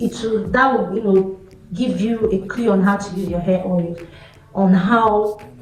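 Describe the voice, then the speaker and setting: A woman with a non-native accent speaks at a fairly slow pace, her medium pitch showing ordinary variation. Noticeable background noise and audible room echo fill the recording. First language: not English. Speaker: hair care YouTuber. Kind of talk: tutorial. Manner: chatty, conversational.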